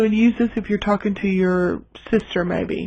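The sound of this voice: Speaking at a fairly slow pace, a woman has a medium pitch. Her tone is slightly mellow.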